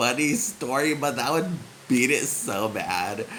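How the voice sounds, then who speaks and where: Over noticeable background noise and audible room echo, a man with a West Coast US accent talks with lively intonation. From San Francisco, US. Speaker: vlogger. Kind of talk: casual chat. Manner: subdued.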